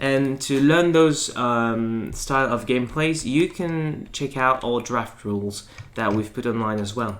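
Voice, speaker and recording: A man speaks at a fairly slow pace in a medium pitch. His pitch varies in an ordinary way. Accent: French. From France. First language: French. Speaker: board game presenter. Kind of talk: tutorial. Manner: halting, many fillers.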